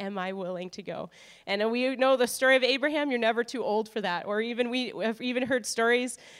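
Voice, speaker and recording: A woman with an Upper Midwest accent speaks at a fairly quick pace with ordinary pitch variation on a very clean recording with a silent background. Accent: Upper Midwest American. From North Dakota. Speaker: missionary. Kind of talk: testimony. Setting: church.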